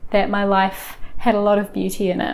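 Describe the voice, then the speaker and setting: Someone with a New Zealand accent speaks at a moderate pace. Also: woman. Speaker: lifestyle vlogger. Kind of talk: casual talk to camera. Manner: gentle, warm.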